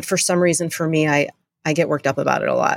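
Speaking at a very fast pace, a woman uses a fairly low pitch in a very clean recording with a silent background. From US, Delaware. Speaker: CrossFit gym owner and coach. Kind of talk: interview.

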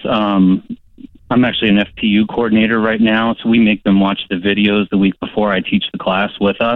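Speaking at a moderate pace, a man uses a plain, everyday voice at medium pitch. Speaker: caller. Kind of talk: call-in advice conversation. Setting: phone call.

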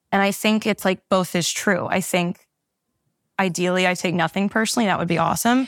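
A woman with an unremarkable speaking voice at medium pitch, fairly quick in pace, with fairly even intonation, very even loudness, and a dry, close sound with no echo. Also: very clean recording, silent background. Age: 20s. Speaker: podcast listener seeking advice. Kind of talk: personal coaching conversation.

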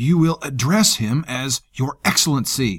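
Growling at a medium pitch and a moderate pace, a man speaks in a dry, close sound with no echo. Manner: growled, through clenched teeth.

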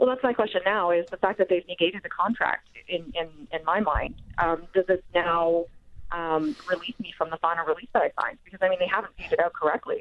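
A woman speaks in a plain, everyday voice at a medium pitch. Her pitch moves in an ordinary way, and her pace is fairly quick. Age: 40s. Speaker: caller. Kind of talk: call-in question. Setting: phone call.

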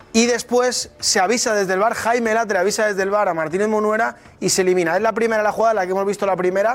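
A man with a high pitch speaks very fast and animated, with hardly any pauses and very even loudness. Music plays in the background. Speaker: football analyst. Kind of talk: sports commentary, analyzing refereeing. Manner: fast, emphatic, repetitive.

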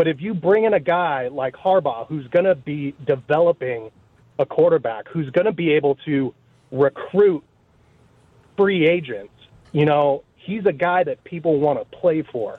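A man at a moderate pace uses an unremarkable speaking voice, pitched fairly high, with ordinary pitch variation. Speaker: radio caller. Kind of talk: call-in chat. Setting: phone call.

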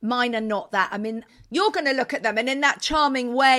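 Against a silent background in a very clean recording, a woman with a British accent speaks with a bright, sharp tone and lively intonation. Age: 50s. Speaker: interiors podcast co-host. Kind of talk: casual chat.

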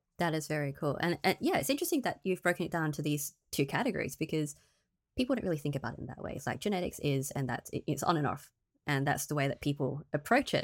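A woman's very deep, low voice with an American accent, very fast in pace with ordinary pitch variation, on a very clean recording with a silent background. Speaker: podcast host. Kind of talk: casual interview chat.

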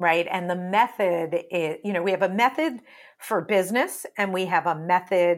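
A woman at medium pitch and moderate pace, with ordinary pitch variation, on a very clean recording with a silent background. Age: 40s. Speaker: life coach. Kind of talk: casual interview chat. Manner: animated.

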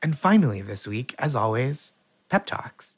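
A man's somewhat breathy voice with an American accent, very wide pitch swings, and a dry, close sound free of echo. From Boston area, US. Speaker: comedian and game show host. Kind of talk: casual comedy game show banter.

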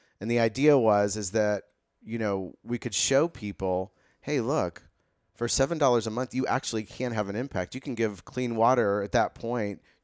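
A man speaks in an unremarkable speaking voice at a medium pitch. His pace is moderate, with ordinary pitch variation. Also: dry, close sound with no echo, very clean recording, silent background. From US Midwest (Carmel, Indiana). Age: 50s. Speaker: nonprofit and fashion brand founder. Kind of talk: casual chat.

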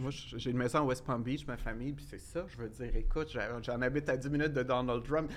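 At a fairly quick pace, a man with a Quebec accent talks at medium pitch, his loudness swinging widely. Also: fairly even intonation. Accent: Québécois French. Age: 40s. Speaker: life coach. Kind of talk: casual interview chat.

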